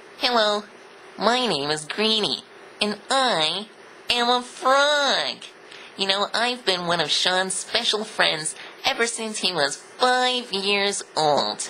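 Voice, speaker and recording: A put-on character voice at a fairly high pitch moves at a very slow pace. Background noise is clearly present. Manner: friendly, cartoonish.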